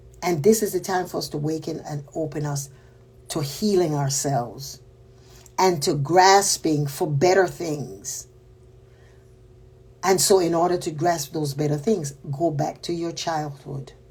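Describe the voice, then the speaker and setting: A woman's very deep, low voice, somewhat breathy, in a Panamanian accent, at a fairly slow pace with ordinary pitch variation and long, frequent pauses. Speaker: spiritual teacher. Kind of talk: spiritual talk. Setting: livestream.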